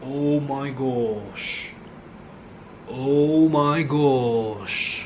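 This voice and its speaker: This man has a fairly high pitch and ordinary pitch variation. Audible room echo and noticeable background noise are present. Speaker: art hobbyist youtuber. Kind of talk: painting tutorial, casual chat. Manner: soft-spoken; relaxed.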